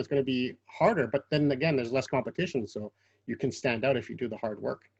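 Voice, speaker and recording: A man with a Quebec accent talks at a very fast pace in a fairly high voice with lively intonation. The sound is dry and close, with no echo. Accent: Canadian English, Quebec. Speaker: interviewer. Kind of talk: interview.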